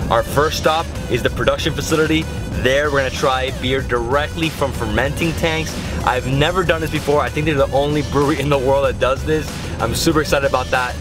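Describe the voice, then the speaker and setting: Clear music plays in the background while a man speaks at a fairly quick pace. The sound is dry with no echo. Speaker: travel vlogger. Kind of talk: casual vlog chat. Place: car. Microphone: phone near.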